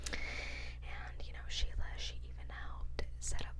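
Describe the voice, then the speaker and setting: Whispered words come at a very slow pace, with noticeable noise behind them. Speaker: ASMR creator. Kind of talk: ASMR true crime narration.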